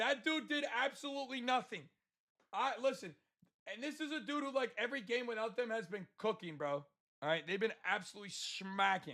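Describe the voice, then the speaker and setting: A man's raised, projected voice, high in pitch, bright and sharp in tone, at a fairly quick pace. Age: 20s. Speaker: sports betting streamer. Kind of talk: sales pitch; livestream chat with viewers. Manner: casual, many filler words.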